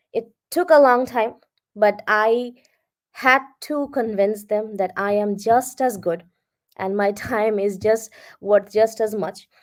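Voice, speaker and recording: On a very clean recording with a silent background, a woman with a Bengali accent speaks in a confident tone at a fairly high pitch, very slowly and with long, frequent pauses. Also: ordinary pitch variation. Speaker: freelance content writer. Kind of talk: interview.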